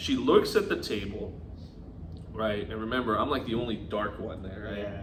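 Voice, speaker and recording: A man with a Californian accent at a moderate pace, with big swings in loudness and audible room echo. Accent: California. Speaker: podcast co-host. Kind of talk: casual chat.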